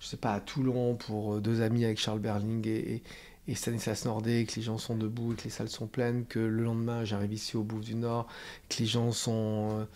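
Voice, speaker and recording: This voice has a dark, mellow tone and a monotone, flat intonation, moving at a moderate pace. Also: man, medium pitch for a man. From France. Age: 60s. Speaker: playwright and theatre director. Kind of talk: interview. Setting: theatre dressing room. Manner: halting, many fillers.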